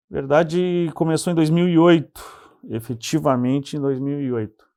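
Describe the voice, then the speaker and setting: A man at a moderate pace, with ordinary pitch variation over a quiet background. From southern Brazil, Pelotas (Rio Grande do Sul). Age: 40s. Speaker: city councillor. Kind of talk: TV interview.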